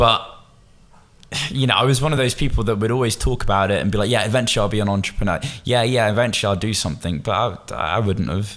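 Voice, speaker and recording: A man with a Bristol accent speaks at a very fast pace in a fairly low pitch, with very even loudness and ordinary pitch variation. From Bristol, England. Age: 20s. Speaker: agency founder, entrepreneur. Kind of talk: podcast interview. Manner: casual, informal.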